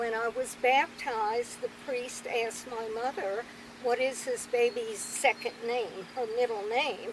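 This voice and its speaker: Noticeable background noise sits behind a woman's high voice. She talks at a fairly slow pace with fairly even intonation. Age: 80s+. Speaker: grandmother interviewee. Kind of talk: family interview, storytelling.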